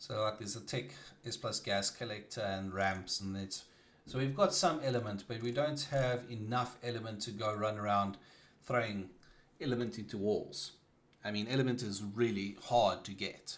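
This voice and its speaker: In a South African accent, a man speaks at a moderate pace with a medium pitch and ordinary pitch variation. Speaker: gaming streamer. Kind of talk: casual live-stream chat. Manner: halting, with many fillers and restarts.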